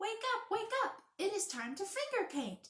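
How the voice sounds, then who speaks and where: A woman puts on a squeaky character voice at an extremely high pitch with very wide pitch swings. She keeps a gentle tone and a moderate pace. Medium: read story. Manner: patient, gentle.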